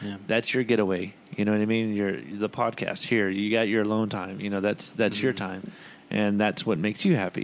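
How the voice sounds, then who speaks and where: A man with an unremarkable speaking voice talks fairly quickly at a fairly low pitch, keeping his intonation fairly even. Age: 30s. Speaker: podcast co-host. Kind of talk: casual chat.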